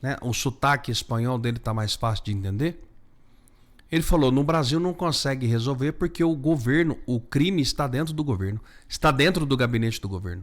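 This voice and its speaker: Over a very clean recording with a silent background, a man at medium pitch speaks fairly quickly in an animated tone with lively intonation. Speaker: news vlogger. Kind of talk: political commentary.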